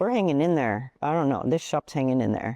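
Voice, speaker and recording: In a dry, close sound with no echo and a quiet background, a woman speaks in a dark, mellow tone with ordinary pitch variation. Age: 60s. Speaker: tattoo artist. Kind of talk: casual interview chat. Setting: podcast recording.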